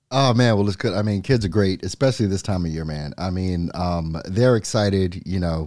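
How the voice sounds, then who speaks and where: A man's very deep, low voice, dark and mellow, at a very fast pace with ordinary pitch variation against a quiet background. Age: 50s. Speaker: life insurance agent, podcast co-host. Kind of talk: casual chat.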